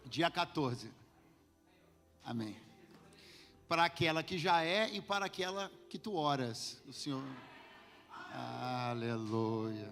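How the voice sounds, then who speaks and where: Over background music, a man with a fairly high voice speaks at a very slow pace, with very wide pitch swings and long, frequent pauses. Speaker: pastor. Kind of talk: sermon. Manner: talkative.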